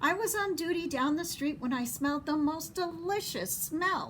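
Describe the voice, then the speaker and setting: A woman's put-on character voice, extremely high in pitch, at a moderate pace and very even loudness, over clear background noise. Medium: read story. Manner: friendly, appreciative.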